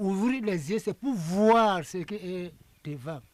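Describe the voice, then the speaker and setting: A man's high voice, very slow pace, lively intonation. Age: 80s+. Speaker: traditional priest. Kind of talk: interview.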